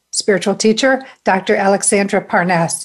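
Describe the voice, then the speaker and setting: A woman talks at a fairly slow pace in a normal speaking voice. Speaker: spiritual talk show host. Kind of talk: casual interview chat.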